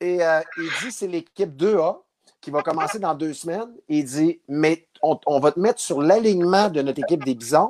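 A plain, everyday voice from a man, fairly high in pitch, at a moderate pace with ordinary pitch variation. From Abitibi, Quebec. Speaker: former baseball player. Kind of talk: interview storytelling.

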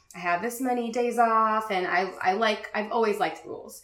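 With an American accent and fairly even intonation, a woman speaks amid audible room echo. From Richmond, Virginia, US. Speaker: graphic designer and business owner. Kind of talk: casual interview.

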